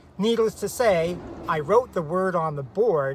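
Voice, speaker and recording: Speaking with a Canadian accent, the voice moves at a fairly slow pace with lively intonation. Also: man. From Canada. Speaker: special education teacher. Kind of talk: casual advice talk to camera.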